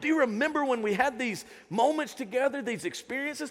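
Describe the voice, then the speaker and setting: In an animated tone with lively intonation, a man talks very fast at an extremely high pitch. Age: 50s. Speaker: pastor. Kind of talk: Sunday church sermon, energetic call-and-response preaching to a family congregation. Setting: church with live congregation. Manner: animated, punchy exhortation with rhetorical questions; casual, conversational Southern-tinged warmth.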